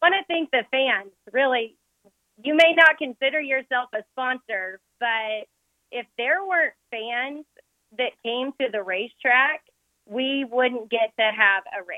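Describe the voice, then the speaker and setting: A high-pitched woman with an American accent talks at a fairly slow pace, her intonation lively. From Oklahoma. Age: 30s. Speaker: race car driver. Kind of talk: casual interview.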